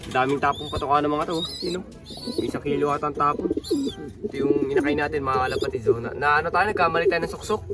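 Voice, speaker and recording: Very fast speech over music in the background. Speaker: pigeon racing vlogger. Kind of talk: casual vlog. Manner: halting.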